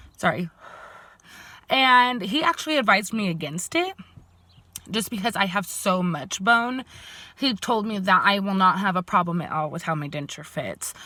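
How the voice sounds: A woman's bright, sharp voice at a medium pitch, with lively intonation and a moderate pace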